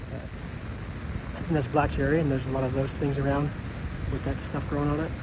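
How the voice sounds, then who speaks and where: A man at a fairly quick pace, over noticeable background noise. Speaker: farmer. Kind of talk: casual walkthrough vlog. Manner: fast.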